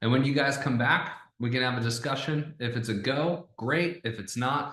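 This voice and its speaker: A man's energetic, animated voice at medium pitch, with ordinary pitch variation, a moderate pace and audible room echo. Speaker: online sales coach. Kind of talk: tutorial. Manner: casual, conversational.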